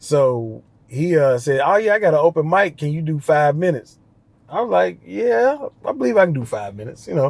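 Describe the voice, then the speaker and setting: This man talks at a fairly quick pace in a Southern US accent, his fairly high pitch swinging very widely. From West Tennessee, near Memphis. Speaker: stand-up comedian. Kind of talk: casual interview chat, storytelling.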